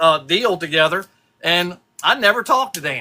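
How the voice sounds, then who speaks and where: A raised, projected voice with a bright, sharp tone carries ordinary pitch variation. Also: man. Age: 60s. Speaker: custom lure painter. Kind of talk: casual chat.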